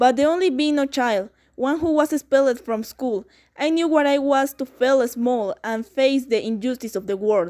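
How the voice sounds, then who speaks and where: A woman speaks at a high pitch and a moderate pace. The recording is very clean, with a silent background. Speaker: actor voicing Mussolini. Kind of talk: first-person historical speech read as Mussolini. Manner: bombastic, declamatory, proud.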